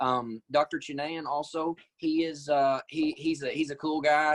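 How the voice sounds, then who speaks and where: A man speaks in an Arkansas accent at a moderate pace with fairly even intonation. The sound is dry and close, with no echo. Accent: US Southern (Arkansas). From Arkansas, Batesville area. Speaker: nurse practitioner. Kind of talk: interview. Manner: halting.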